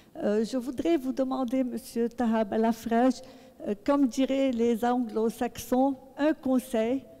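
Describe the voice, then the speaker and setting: A woman speaks at a very slow pace with a high pitch and fairly even intonation. Her loudness stays very even, and there is noticeable background noise. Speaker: audience member asking a question. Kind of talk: public question at a book talk. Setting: book club event with audience.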